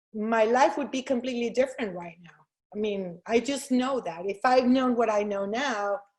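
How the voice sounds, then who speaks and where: A woman's fairly high voice with ordinary pitch variation and big swings in loudness. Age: 50s. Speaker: real estate agent. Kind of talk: interview. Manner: fast.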